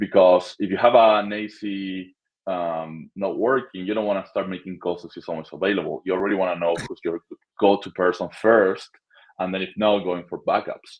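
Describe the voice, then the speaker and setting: In a Spanish accent, a man with a very deep, low pitch speaks at a moderate pace with fairly even intonation. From Argentina. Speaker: short-term rental property manager. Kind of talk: interview.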